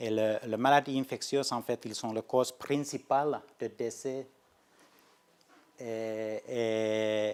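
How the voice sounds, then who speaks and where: A man's medium-pitched voice, very slow in pace, with fairly even intonation. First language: Finnish (speaking French). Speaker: research scientist. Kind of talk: lecture. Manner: halting, many hesitations and restarts.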